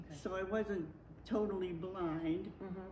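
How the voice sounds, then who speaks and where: A woman talks with monotone, flat intonation over noticeable background noise. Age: 80s+. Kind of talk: interview answer.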